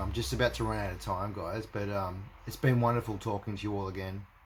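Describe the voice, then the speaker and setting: A man's fairly low voice with an Australian accent at a very fast pace. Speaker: religious video blogger. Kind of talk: casual monologue to camera. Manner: halting, many fillers and repetitions.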